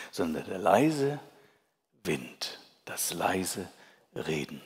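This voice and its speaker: A man speaks with a warm tone. His pitch swings very widely. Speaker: preacher. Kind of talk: sermon. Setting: church. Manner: earnest, pastoral and warm. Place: church. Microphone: headset.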